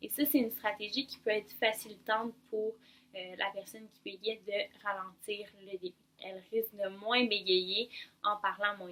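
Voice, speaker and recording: A woman talks at a fairly slow pace in a bright, sharp tone of medium pitch. Her loudness swings widely while her intonation stays fairly even. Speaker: speech-language pathologist. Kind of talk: expert advice explanation.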